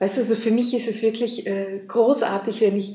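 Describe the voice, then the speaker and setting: In an Austrian accent, a woman speaks at a moderate pace and a fairly high pitch with ordinary pitch variation, and audible room echo surrounds her voice. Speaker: relationship coach. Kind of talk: interview.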